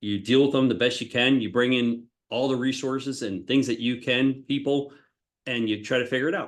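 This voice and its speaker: An unremarkable speaking voice from a man, medium in pitch, fairly quick, with fairly even intonation. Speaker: construction executive. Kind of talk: interview.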